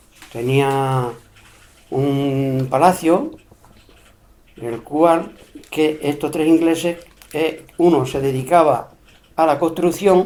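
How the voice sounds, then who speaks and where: Fairly high in pitch, a man's voice carries fairly even intonation. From Spain, Extremadura (Cáceres, Peraleda area). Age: 70s. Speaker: elderly interviewee recalling local history. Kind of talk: oral history interview. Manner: hesitant, with fillers and repetitions.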